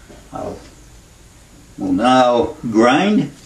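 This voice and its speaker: Noticeable background noise accompanies a man speaking with an American accent. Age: 80s+. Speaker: home toolmaker. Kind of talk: tutorial demonstration.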